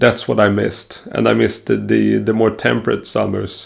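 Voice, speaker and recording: A man speaks with a Swedish accent. His pace is moderate. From Sweden. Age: 30s. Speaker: self-improvement vlogger. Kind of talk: personal vlog monologue. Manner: hesitant, many fillers.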